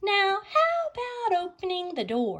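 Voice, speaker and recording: A squeaky, extremely high-pitched put-on character voice from a woman at a fairly slow pace. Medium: read story.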